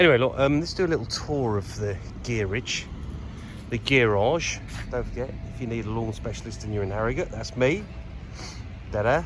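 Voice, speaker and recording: Mumbling with a Yorkshire accent at a fairly quick pace, a man of medium pitch shows ordinary pitch variation, takes long, frequent pauses, and is heard with audible room echo. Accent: northern English (Yorkshire). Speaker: lawn care business owner. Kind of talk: casual vlog tour. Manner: mumbling a bit; chatty, informal.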